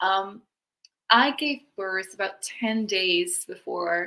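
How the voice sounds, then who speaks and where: This woman has a Dutch accent. Her tone is bright and sharp. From Netherlands. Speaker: women's wealth coach. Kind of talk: interview podcast.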